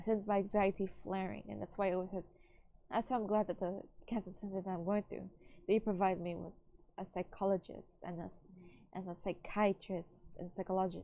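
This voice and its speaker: A woman's medium-pitched voice, dark and mellow in tone, with monotone, flat intonation, a fairly quick pace and long, frequent pauses. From Latin America. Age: 20s. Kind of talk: personal audio log. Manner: halting, stumbling over words.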